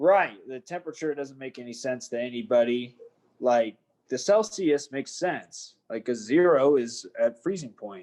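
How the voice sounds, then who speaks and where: A man with an American accent speaks in a plain, everyday voice at a medium pitch and moderate pace. His intonation is lively, with big swings in loudness. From United States. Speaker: professional MMA fighter. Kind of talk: casual chat.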